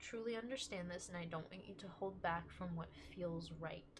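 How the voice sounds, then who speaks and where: With audible room echo, a woman speaks at medium pitch, somewhat breathy, with ordinary pitch variation. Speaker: tarot reader. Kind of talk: tarot reading. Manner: casual, filler-heavy.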